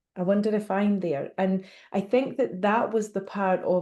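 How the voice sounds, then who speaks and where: With a slight Scottish accent, the speaker talks at a fairly slow pace in a dark, mellow tone over a quiet background. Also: woman. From Scotland. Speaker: medium. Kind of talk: interview.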